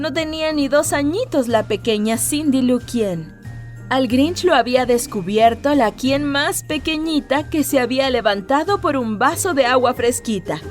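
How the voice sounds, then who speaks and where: Over music in the background, a woman speaks in a high pitch at a fairly slow pace, her tone upbeat and her intonation lively. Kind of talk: children's story reading.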